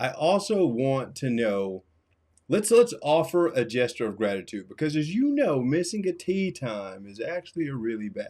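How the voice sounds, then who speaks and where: On a very clean recording with a silent background, a man speaks at a moderate pace in a dark, mellow tone. His pitch is fairly high for a man, with very wide pitch swings and big swings in loudness. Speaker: tech tutorial youtuber. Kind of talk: tutorial. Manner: casual, conversational.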